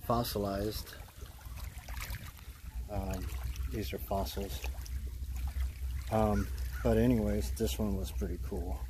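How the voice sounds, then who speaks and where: No echo, a dry sound, and noticeable noise in the background. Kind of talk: casual vlog chat. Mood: enthusiastic. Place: beach. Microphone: phone near.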